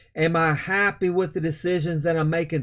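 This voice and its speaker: As he speaks, the man shows ordinary variation in pitch. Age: 60s. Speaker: motivational vlogger. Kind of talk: casual motivational talk. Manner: halting, with fillers.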